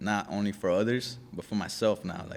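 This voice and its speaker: With an American accent, a man uses a normal speaking voice, fairly low in pitch, with fairly even intonation. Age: 20s. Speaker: gym member, podcast guest. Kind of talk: casual interview.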